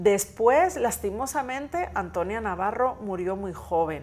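Against light background noise, a woman with vocal fry speaks at a fairly slow pace with lively intonation. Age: 40s. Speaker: historian; guest. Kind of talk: educational interview for children. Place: studio.

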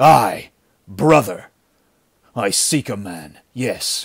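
A man's raspy, growling put-on character voice at medium pitch, very slow and with very wide pitch swings. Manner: snarling.

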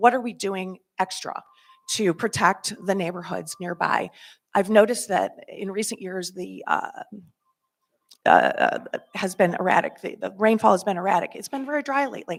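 Her medium-pitched voice has vocal fry, ordinary pitch variation and big swings in loudness as this woman speaks. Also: moderate pace. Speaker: resident speaking at public comment. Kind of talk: public comment at a meeting. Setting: public meeting hall. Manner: halting, many fillers.

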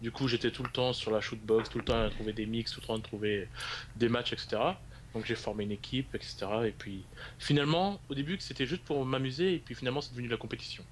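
Talking at a fairly quick clip, a man uses an unremarkable speaking voice and ordinary pitch variation. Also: medium pitch for a man. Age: 20s. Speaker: esports league staff member. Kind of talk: interview.

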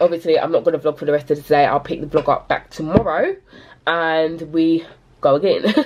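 A woman's normal speaking voice, fairly low in pitch, at a fairly quick pace with fairly even intonation over light background noise. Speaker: small business owner vlogger. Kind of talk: casual vlog chat. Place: home room. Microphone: phone near.

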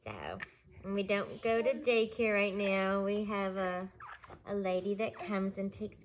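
With light background noise, a woman speaks at a very slow pace and with ordinary pitch variation. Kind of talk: explanatory observation talk. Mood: warm, light. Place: home room. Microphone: phone near.

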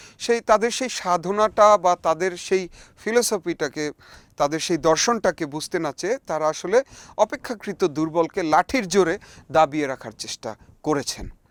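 A man's high-pitched voice with lively intonation, dry and close with no echo, on a very clean recording over a silent background. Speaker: band musician and folk music researcher. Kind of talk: spoken essay to camera.

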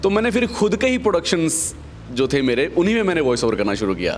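A man speaks at a moderate pace, his pitch swinging very widely. Music plays behind him. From India. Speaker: voice over artist. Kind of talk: interview answer. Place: home room. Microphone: handheld.

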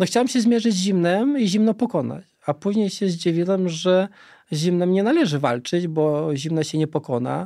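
Lively intonation and a dark, mellow tone from a man, set against a quiet background. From Lithuania, Vilnius region; Lithuania. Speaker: cold exposure researcher; guest. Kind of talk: interview. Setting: studio. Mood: calm, reflective. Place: studio. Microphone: studio mic.

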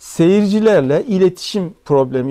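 Over a quiet background, a man speaks in a dark, mellow tone with lively intonation. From Turkey, Hatay (İskenderun); Hatay, Turkey. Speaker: music talk host. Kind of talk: storytelling talk. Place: meeting room.

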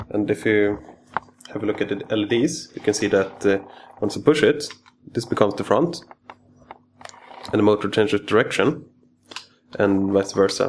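A man talks at a fairly low pitch and moderate pace, with ordinary pitch variation and a non-native accent. Long, frequent pauses break up his speech over light background noise. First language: not English. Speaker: electronics hobbyist engineer. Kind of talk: technical tutorial demo. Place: workshop.

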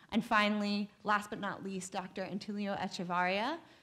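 A woman at a fairly quick pace, with fairly even intonation. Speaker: panel moderator. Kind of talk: panel introduction. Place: hall. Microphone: podium.

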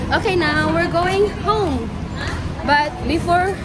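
A woman speaks with ordinary pitch variation. Crowd noise fills the background, and the sound is dry with no echo. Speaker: vlogger. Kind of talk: casual vlog chat. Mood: cheerful, reassuring. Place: street. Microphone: phone near.

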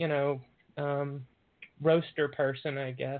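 A woman with a very deep, low pitch speaks in a Southern US accent. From US South. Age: 40s. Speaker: doctor and mental health advocate. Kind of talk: podcast interview.

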